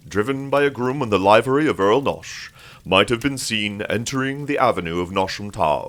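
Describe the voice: The speaker offers plain reading aloud.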